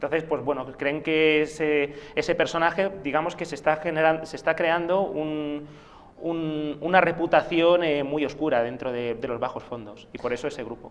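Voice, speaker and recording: Through noticeable background noise, a man in a fairly high voice talks at a moderate pace with fairly even intonation. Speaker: author of a role-playing game book. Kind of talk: TV interview. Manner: hesitant, many fillers.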